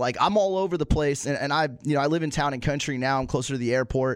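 A man with a fairly high pitch talks very fast. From Tampa Bay area, Florida (born in Pittsburgh). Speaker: radio producer and weekend sports radio host. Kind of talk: casual chat. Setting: studio.

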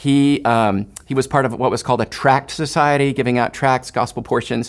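This is an unremarkable speaking voice with an American accent and ordinary pitch variation at a moderate pace. The recording is very clean, with a silent background. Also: man. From Houston, Texas. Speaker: missionary. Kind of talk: interview.

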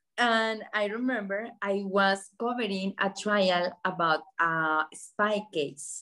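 A woman speaks in a Colombian accent. Her pitch varies in an ordinary way. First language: Spanish. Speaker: journalist and communications entrepreneur. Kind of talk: interview sharing life story with students.

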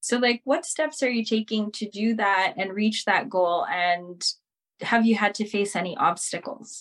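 This woman has an ordinary speaking voice, fairly high in pitch, moving at a fairly slow pace with lively intonation. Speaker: podcast host. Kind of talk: interview on a talk show.

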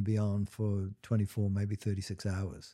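The voice has a dark, mellow tone and moves at a fairly quick pace on a very clean recording with a silent background. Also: man. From Trinidad. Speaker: gynecologist podcast host. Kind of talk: interview.

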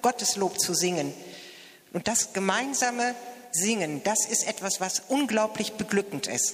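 A woman speaks at a medium pitch and a fairly slow pace, with ordinary pitch variation and very even loudness. Long, frequent pauses break up her speech, and there is noticeable background noise. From Mettingen, Westphalia, Germany. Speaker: church choir member. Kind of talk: interview at a celebration.

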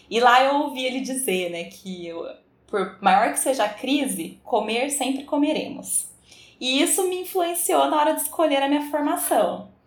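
With noticeable background noise, a woman talks at a fairly slow pace. Her high voice moves in very wide pitch swings. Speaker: food engineer. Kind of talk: interview.

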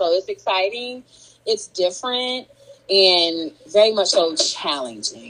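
Speaking at a medium pitch, a woman keeps a fairly slow pace. Noticeable background noise sits behind her. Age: 30s. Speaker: entrepreneur and gardener. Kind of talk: casual chat.

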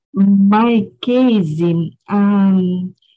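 With music in the background, a woman with a Portuguese accent speaks very slowly at a medium pitch, her pitch varying in an ordinary way. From São Paulo, Brazil. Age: 50s. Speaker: English learner. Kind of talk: casual chat. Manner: halting.

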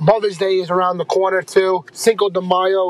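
Noticeable background noise sits behind a man's high voice, which sounds dry and close with no echo. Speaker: podcast host. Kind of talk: casual episode sign-off. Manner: casual, informal.

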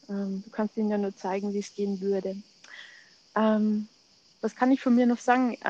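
A woman speaks in a dark, mellow tone with monotone, flat intonation and long, frequent pauses. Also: medium pitch for a woman, moderate pace. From Germany, Munich. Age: 40s. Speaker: ayurveda coach, podcast co-host. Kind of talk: casual chat.

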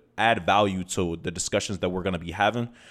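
With an American accent, a man speaks in a very deep, low pitch. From US Midwest, Toledo, Ohio. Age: 20s. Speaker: podcast host. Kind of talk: casual monologue. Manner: energetic.

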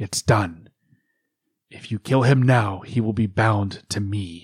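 Someone uses a put-on character voice and delivers it at a fairly slow speed. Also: man, fairly low pitch for a man. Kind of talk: audiobook dialogue. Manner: amused, contemptuous, confident.

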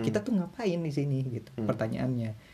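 A man's medium-pitched voice, dark and mellow in tone and somewhat breathy. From Indonesia. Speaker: university student abroad. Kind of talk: casual chat.

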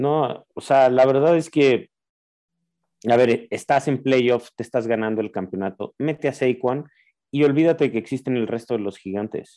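At a moderate pace, a man speaks in a dark, mellow tone at medium pitch with ordinary pitch variation. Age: 40s. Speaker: fantasy football podcast co-host. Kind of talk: casual chat.

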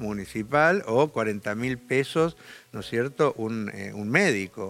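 Here is a man with an unremarkable speaking voice and fairly low pitch. His intonation is lively. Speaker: left-wing politician. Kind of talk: interview.

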